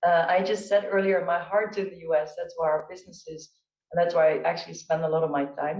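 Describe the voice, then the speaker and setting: Someone with a Dutch accent talks at a very fast pace. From Netherlands. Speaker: chief procurement officer on a panel. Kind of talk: panel discussion.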